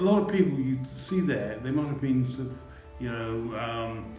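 A man talking at a fairly quick clip with lively intonation, audible room echo and faint music in the background. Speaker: artist, stroke survivor with aphasia. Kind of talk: documentary interview answer. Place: hall. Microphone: camera far.

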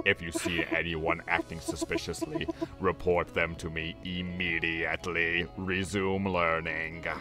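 In a put-on character voice with a very deep, low pitch, a man speaks at a fairly slow pace while clear music plays in the background. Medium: game stream. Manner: menacing, self-righteous.

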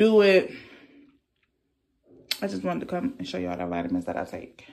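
Her voice fairly low in pitch, a woman speaks at a moderate pace with lively intonation.

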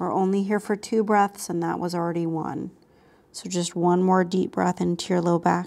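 At a moderate pace, a woman with an American accent speaks at a medium pitch in a monotone, flat intonation. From Texas, Austin; Texas. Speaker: yoga teacher. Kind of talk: guided yoga class. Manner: calm, instructive. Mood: calm, soothing. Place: home room.

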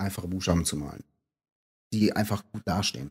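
A man speaks at a fairly quick pace in a somewhat breathy voice with ordinary pitch variation, the sound dry and close with no echo. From Rhineland, Aachen-Cologne region. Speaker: graffiti artist. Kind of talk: casual interview. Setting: in person by the sea. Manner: halting.

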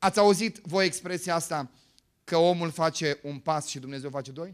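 Against a quiet background, the speaker uses an animated tone at a moderate pace, with big swings in loudness. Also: man. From Romania, Bucharest. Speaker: pastor. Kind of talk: sermon. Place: church. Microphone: handheld.

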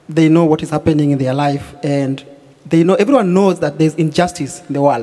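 At a fairly quick pace, a man delivers his words. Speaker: guest. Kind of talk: interview answer. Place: stage. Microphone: handheld.

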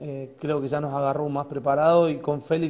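A man's monotone, flat delivery at a very fast pace. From Argentina, Córdoba province (Río Tercero); Córdoba province, Argentina. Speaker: football coach, former player; football coach. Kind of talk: interview. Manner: hesitant, many repetitions. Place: home room. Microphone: earbuds.

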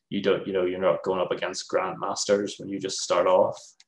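A man speaks with a Northern Irish accent. Room echo is audible. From Northern Ireland. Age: 30s. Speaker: games developer; lecturer. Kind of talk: presentation; interview answer. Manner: casual, hesitant with many fillers. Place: home room. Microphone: webcam.

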